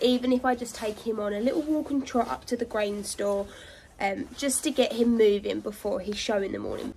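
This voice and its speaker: At a moderate pace, a woman speaks in a high pitch with ordinary pitch variation over light background noise. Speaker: horse rider vlogger. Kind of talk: casual vlog chat. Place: farm machine. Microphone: phone near.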